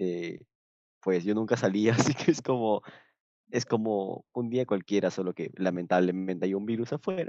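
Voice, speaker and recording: A man speaks in a plain, everyday voice. His pace is moderate and his pitch varies in an ordinary way. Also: fairly low pitch for a man. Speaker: film podcast host. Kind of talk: casual chat. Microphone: moved microphone after technical problems.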